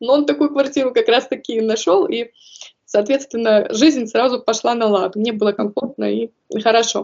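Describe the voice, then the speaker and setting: A woman with a plain, everyday voice, fairly high in pitch with ordinary variation, at a moderate pace. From Kazakhstan. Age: 30s. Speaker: early childhood educator. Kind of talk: interview.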